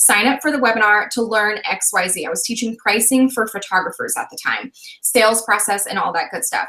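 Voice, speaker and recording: Fairly high speech from a woman at a fairly quick clip, under noticeable background noise. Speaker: online business coach. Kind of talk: live webinar discussion. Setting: live video broadcast. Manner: fast; energetic.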